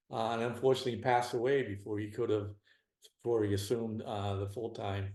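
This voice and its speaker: In a strong Boston accent, a man talks at a medium pitch with fairly even intonation. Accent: Boston accent, still strong. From Boston area, Massachusetts. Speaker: retired federal special agent. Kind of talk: interview conversation.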